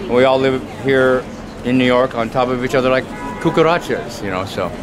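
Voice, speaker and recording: A man talks at a fairly quick pace with an American accent. Noticeable background noise can be heard. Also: medium pitch for a man, ordinary pitch variation. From Portland, Oregon. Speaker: street artist and poet. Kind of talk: interview answer. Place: street. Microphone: phone near.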